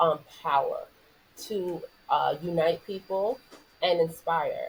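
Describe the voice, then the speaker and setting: In a New York accent, a woman speaks at a very slow pace against noticeable background noise. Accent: New York American. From New York City. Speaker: former basketball player, sports entrepreneur. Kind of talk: podcast interview.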